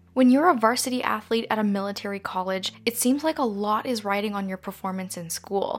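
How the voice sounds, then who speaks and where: A woman with a Canadian accent talks at a fairly quick pace in a plain, everyday voice. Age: 20s. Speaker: true crime podcaster. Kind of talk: scripted narration.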